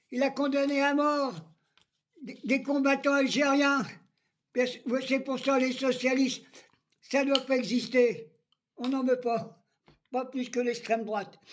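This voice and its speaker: A man's extremely high voice at a very slow pace, with fairly even intonation, big swings in loudness, and long, frequent pauses. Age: 80s+. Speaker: political vlogger. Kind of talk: political rant.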